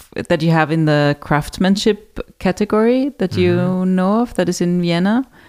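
A woman speaks at a fairly low pitch and a fairly slow pace. The sound is dry and close, with no echo. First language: German. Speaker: podcast host, hotel marketing. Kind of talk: interview.

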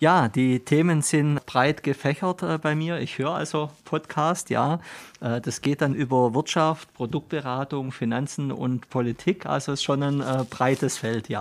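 A man with an unremarkable speaking voice talks at a fairly slow pace. His pitch is fairly high, with fairly even intonation. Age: 50s. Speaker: company managing director. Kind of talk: interview. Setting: studio.

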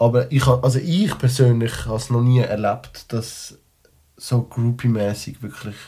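A man speaks at a fairly slow pace. His tone is dark and mellow, and somewhat breathy. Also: medium pitch for a man, fairly even intonation. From Switzerland, Liestal (Basel-Landschaft). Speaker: rapper. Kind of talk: casual chat. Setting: studio.

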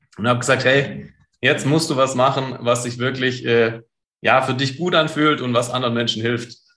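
A man's medium-pitched voice with a bright, sharp tone, fairly even intonation and a moderate pace. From Stuttgart, southwest Germany. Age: 30s. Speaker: entrepreneur and coach. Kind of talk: interview.

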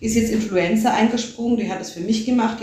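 The voice has fairly even intonation, with noticeable background noise and audible room echo. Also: woman. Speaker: media and performance artist. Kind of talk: interview.

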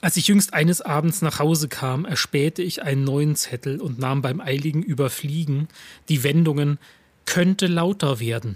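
A fairly high-pitched, somewhat breathy man's voice with lively intonation. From eastern Germany, Lusatia (Saxony). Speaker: writer and stage reader. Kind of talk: reading aloud own texts.

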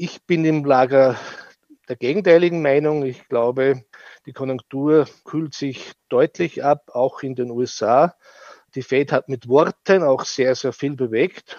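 Very slow speech from a man, fairly high in pitch with ordinary variation and big swings in loudness. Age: 50s. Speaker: fund manager. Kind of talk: interview. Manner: halting, repeats words.

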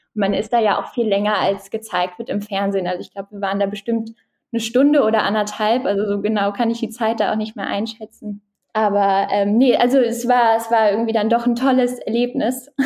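Fairly even intonation at a fairly quick pace. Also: woman, fairly high pitch for a woman. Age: 20s. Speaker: startup founder. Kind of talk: interview. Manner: hesitant, many filler sounds.

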